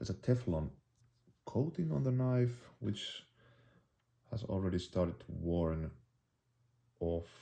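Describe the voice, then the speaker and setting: This man has a Finnish accent and a dark, mellow tone. He speaks at a fairly slow pace with lively intonation. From Finland. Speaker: bushcraft YouTuber. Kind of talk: product review. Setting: indoors, tabletop. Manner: halting, many fillers and restarts.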